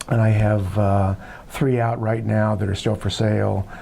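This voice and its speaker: This man with an American accent speaks at a fairly low pitch in a monotone, flat intonation with very even loudness, with audible room echo and noticeable background noise. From Southern California. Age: 70s. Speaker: filmmaker. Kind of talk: interview. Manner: halting, many fillers.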